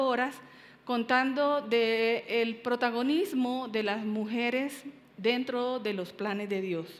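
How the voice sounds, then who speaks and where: In a room with audible echo, a woman speaks very slowly in a high voice with ordinary pitch variation. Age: 60s. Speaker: pastor. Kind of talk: sermon. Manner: halting, many fillers.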